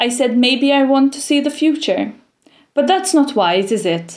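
Her pitch is high for a woman. She speaks at a fairly slow pace. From Malta. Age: 20s. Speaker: poet. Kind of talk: reading aloud.

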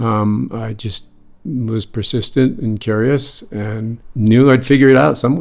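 Fairly slow speech from a man, an ordinary speaking voice at medium pitch with ordinary pitch variation. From US, North Shore of Boston. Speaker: lighting designer. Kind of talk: interview. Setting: on location.

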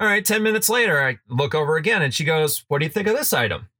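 On a very clean recording with a silent background, a man talks very fast in a bright, sharp tone with very wide pitch swings. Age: 30s. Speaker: sports podcast host. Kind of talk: casual sports talk.

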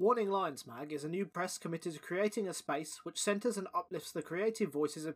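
Pitch varies in an ordinary way during this plain reading aloud.

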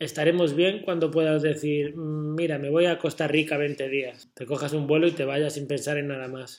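This is a man with a normal speaking voice. His pitch is fairly high and his intonation fairly even. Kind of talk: casual chat.

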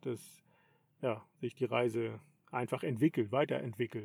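A man's medium-pitched voice, fairly slow, with fairly even intonation. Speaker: podcast host, long-distance cyclist. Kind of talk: casual chat. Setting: in a tent.

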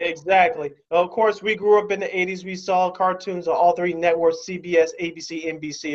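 Speech moves at a fairly slow pace. It comes with an American accent. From Chicago. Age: 40s. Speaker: sports podcast host. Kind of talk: casual sports talk. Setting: video call.

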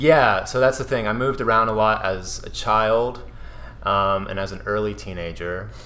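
Fairly low in pitch, a man talks at a moderate pace with ordinary pitch variation. It is an ordinary speaking voice. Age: 20s. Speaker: guest. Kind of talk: casual chat.

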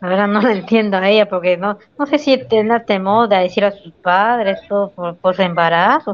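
With a plain, everyday voice, a woman speaks at a moderate pace and medium pitch, her intonation lively. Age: 20s. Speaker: guest. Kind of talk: casual livestream chat.

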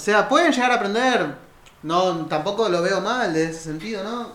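A man at a moderate pace in a Rioplatense accent, with audible room echo and noticeable background noise. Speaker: podcast co-host. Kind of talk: casual chat.

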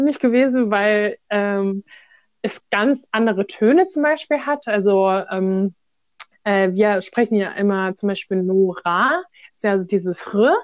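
This woman has a plain, everyday voice at a medium pitch. She talks at a fairly slow pace with ordinary pitch variation. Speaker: volunteer with refugees. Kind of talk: casual interview.

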